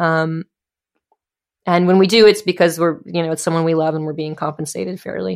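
Pausing long and often, a woman speaks at a fairly quick pace and fairly low pitch with fairly even intonation on a very clean recording with a silent background. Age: 30s. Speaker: musician. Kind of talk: casual chat.

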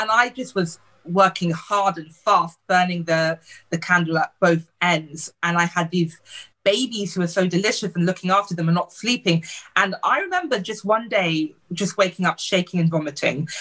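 A woman speaks in a British accent. Her voice is fairly low, with a bright, sharp tone. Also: ordinary pitch variation, moderate pace. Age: 40s. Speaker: beauty blogger and diversity advocate. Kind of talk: interview.

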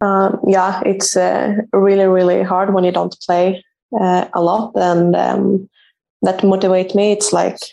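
With a Swedish accent, a woman speaks in a dark, mellow tone at a medium pitch. Her intonation is monotone and flat, and her pace is fairly slow. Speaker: professional football goalkeeper. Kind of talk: interview. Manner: halting.

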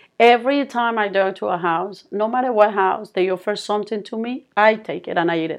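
A woman speaks in a Colombian accent at a medium pitch with ordinary pitch variation. She talks at a fairly quick pace with hardly any pauses. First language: Spanish. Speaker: speech therapist, founder of therapy company. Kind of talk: interview. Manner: halting.

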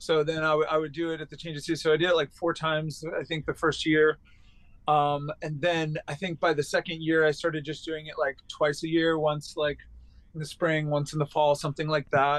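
This man, with an American accent, speaks fairly fast at a fairly high pitch in a flat, monotone way. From Long Island, New York. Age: 40s. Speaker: musician and teacher. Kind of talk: interview.

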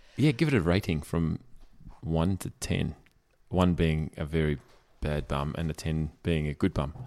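A very deep, low-pitched man's voice with a strong Australian accent, ordinary pitch variation, a moderate pace and long, frequent pauses, on a very clean recording with a silent background. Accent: broad Australian. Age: 40s. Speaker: podcast co-host. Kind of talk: casual chat.

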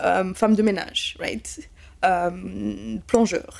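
A woman speaks in an animated tone. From Kenya, raised in Belgium from childhood. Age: 20s. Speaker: cybersecurity specialist. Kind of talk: interview testimony.

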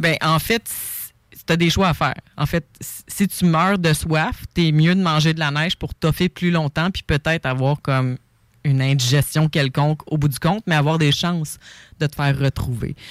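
A woman with a Quebec accent speaks in a very deep, low pitch at a moderate pace. The sound is dry and close with no echo, and her loudness stays very even. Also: ordinary pitch variation. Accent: Québécois French. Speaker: author and survival instructor. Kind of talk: casual chat.

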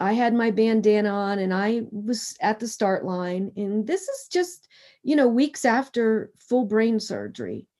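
A woman's fairly high, dark and mellow voice at a fairly slow pace, with ordinary pitch variation, an American accent, and a very clean recording over a silent background. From Pennsylvania (Harrisburg area). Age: 50s. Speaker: endurance athlete and cancer survivor. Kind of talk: interview.

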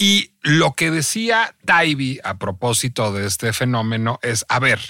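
This is a man at medium pitch. His tone comes across bright and sharp. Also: very clean recording, silent background. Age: 40s. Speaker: podcast host. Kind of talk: casual chat.

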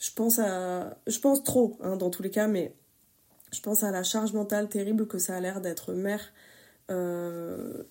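On a very clean recording with a silent background, a woman with an unremarkable speaking voice speaks at medium pitch, at a fairly slow pace, with fairly even intonation. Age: 30s. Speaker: testimony contributor. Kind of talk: testimony.

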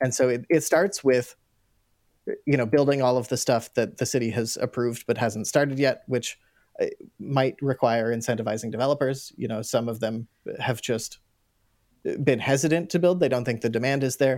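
In a very clean recording with a silent background, a man with a Canadian accent talks at a moderate pace and medium pitch, with ordinary pitch variation and an unremarkable speaking voice. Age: 30s. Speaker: mayoral candidate. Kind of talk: interview.

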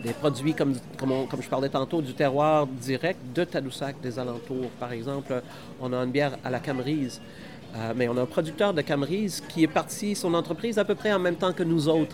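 Over noticeable background noise, a man speaks at a moderate pace in a fairly high pitch with ordinary pitch variation. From northern Saskatchewan, Canada. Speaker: microbrewery owner. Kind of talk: casual interview. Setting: microbrewery on location.

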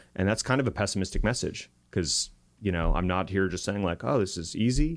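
Speaking with an American accent, a man uses a very deep, low pitch and ordinary pitch variation at a fairly quick pace. The recording is very clean with a silent background. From Arizona. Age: 30s. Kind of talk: casual interview conversation.

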